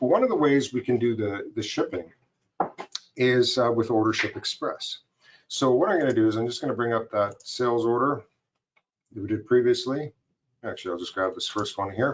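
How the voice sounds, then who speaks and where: A man with a medium pitch and ordinary pitch variation, fairly quick pace, long and frequent pauses. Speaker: software vendor presenter. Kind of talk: product demo webinar. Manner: fast.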